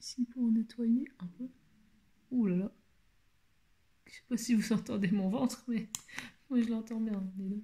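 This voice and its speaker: The voice is quiet and the pace fairly slow. Long, frequent pauses break up the speech. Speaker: beauty vlogger. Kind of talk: makeup tutorial. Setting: at home, shutters closed. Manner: speaking quietly; halting, many hesitations.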